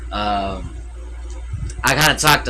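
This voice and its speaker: A man is heard with audible room echo. There is noticeable background noise too. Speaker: streamer reacting to videos. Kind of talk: casual livestream commentary. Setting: livestream at home with TV audio. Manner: loud.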